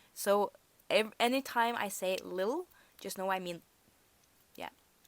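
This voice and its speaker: Speaking with a Norwegian accent, a woman talks at a fairly slow pace in a medium pitch. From Norway. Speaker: storyteller vlogger. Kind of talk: storytime monologue. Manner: casual, halting with self-corrections.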